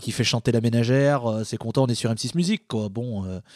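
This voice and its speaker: In a very clean recording with a silent background, a man with a plain, everyday voice talks at medium pitch and a moderate pace. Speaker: podcast panelist. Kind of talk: casual chat.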